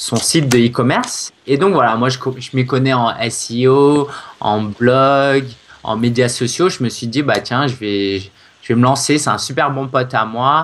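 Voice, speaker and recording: A man with a medium pitch speaks at a fairly slow pace with fairly even intonation. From France, Paris. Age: 20s. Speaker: SEO consultant and blogger. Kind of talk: interview. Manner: hesitant, many fillers.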